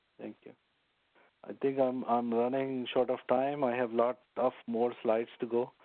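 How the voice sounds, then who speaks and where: With monotone, flat intonation, a man speaks at medium pitch and a fairly slow pace. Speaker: network engineering instructor. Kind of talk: lecture.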